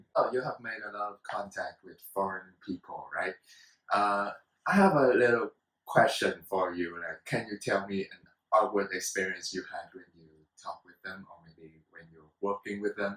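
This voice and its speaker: With a Vietnamese accent, a man talks with big swings in loudness. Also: moderate pace. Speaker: student talk show host. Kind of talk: casual talk show discussion.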